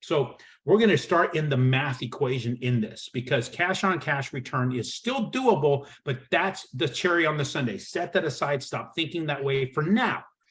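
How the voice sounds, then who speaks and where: The voice carries a bit of breathiness. Its intonation moves in a lively way. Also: man. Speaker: real estate broker. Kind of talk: webinar presentation. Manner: fast; animated.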